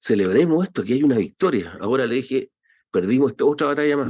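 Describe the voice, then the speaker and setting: A man's intonation rises and falls in a lively way, with a quiet background behind him. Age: 60s. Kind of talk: testimony before parliamentary committee. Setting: parliamentary committee session. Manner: impassioned, animated.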